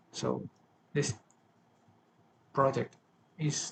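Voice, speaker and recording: At a medium pitch, a man speaks with vocal fry. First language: not English. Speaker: self-improvement vlogger. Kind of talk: personal vlog monologue. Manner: halting, with self-corrections.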